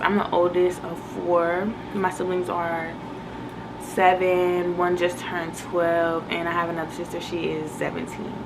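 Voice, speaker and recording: Over noticeable background noise and audible room echo, a woman speaks at a fairly low pitch. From Virginia, US East Coast (born in Boston). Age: 20s. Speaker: YouTuber, lifestyle vlogger. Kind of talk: casual get-to-know-me vlog. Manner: animated, energetic.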